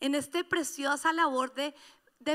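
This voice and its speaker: Projecting her voice, a woman with a high pitch and a bright, sharp tone speaks at a fairly slow pace. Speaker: pastor. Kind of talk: sermon. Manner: animated.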